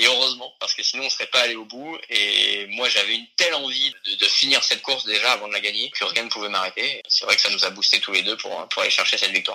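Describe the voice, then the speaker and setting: The voice moves at a very fast pace. There are hardly any pauses. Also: man. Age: 30s. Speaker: professional sailor and civil engineer. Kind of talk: interview. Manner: hesitant, with fillers and repetitions.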